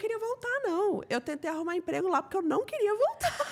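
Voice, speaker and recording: Over noticeable background noise, a woman speaks in an animated tone at an extremely high pitch with very wide pitch swings. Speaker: podcast host. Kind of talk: casual interview chat. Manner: animated, laughing.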